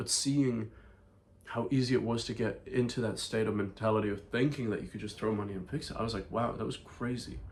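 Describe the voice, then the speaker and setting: Audible room echo carries a man's somewhat breathy voice at a medium pitch. He talks at a fairly quick pace with fairly even intonation. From Ireland. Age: 20s. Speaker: vlogger and entrepreneur. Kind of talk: casual vlog monologue.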